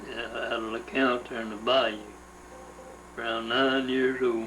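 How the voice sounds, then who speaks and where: With a Louisiana accent, a man speaks in a flat monotone at medium pitch and a moderate pace, with audible room echo and noticeable background noise. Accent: Louisiana Southern US. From US South. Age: 70s. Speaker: interviewee recounting family history. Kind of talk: oral history interview. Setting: at home. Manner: halting.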